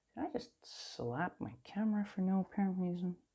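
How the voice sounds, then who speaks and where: A somewhat breathy woman's voice with a non-native accent. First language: not English. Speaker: coloring channel host. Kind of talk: casual chat while coloring. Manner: rambling, self-interrupting.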